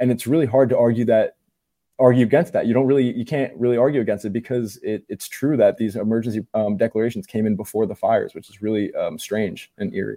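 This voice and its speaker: A man's medium-pitched voice with an American accent and a dark, mellow tone, very fast, with ordinary pitch variation. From New Jersey. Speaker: independent journalist. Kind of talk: casual chat.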